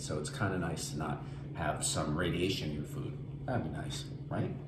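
There's noticeable background noise behind the voice. The intonation is lively and the pace very fast. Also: man. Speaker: home cook host. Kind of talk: cooking tutorial chat. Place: kitchen. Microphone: camera far.

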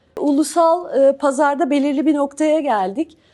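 Her voice high in pitch yet dark and mellow in tone, a woman speaks with ordinary pitch variation. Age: 40s. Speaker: organic farmer and entrepreneur. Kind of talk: award event talk.

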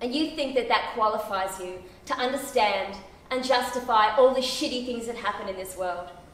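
A woman's fairly high voice at a moderate pace, with ordinary pitch variation and audible room echo. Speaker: actor performing a monologue. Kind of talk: theatrical monologue, confessional and intense, spoken straight to a listener. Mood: intense, emotional. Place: stage. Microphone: camera far.

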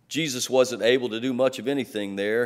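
A man talks at a moderate pace with ordinary pitch movement. The background is quiet. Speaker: pastor preaching. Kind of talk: sermon. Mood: light humor then earnest. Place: church.

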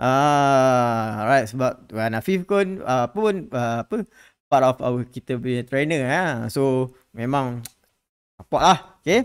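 A man speaks at a very slow pace in a medium pitch, with lively intonation over a quiet background. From Malaysia. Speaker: stock market educator. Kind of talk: live stream market update. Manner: casual, code-switching with English; many filler words. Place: studio. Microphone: studio mic.

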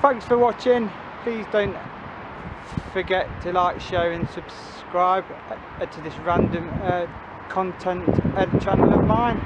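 Loud background noise surrounds a man who speaks at a very slow pace with long, frequent pauses and ordinary pitch variation, the sound dry with no echo. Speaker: urban explorer vlogger. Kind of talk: casual vlog chat. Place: street. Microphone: phone near.

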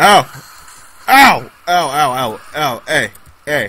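Fairly high pitch from a man, with noticeable background noise behind it. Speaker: gaming YouTuber. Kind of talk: angry gamer rant during live gameplay commentary, cursing at lag and enemies. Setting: screen recording gameplay commentary. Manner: loud, exasperated, swearing and exclaiming in bursts; excitable, erratic, shouting short interjections.

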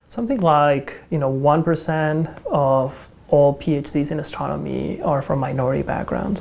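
In a Spanish accent, a woman speaks with a very deep, low pitch and fairly even intonation. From Mexico. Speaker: astronomy department chair. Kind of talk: documentary interview. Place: classroom.

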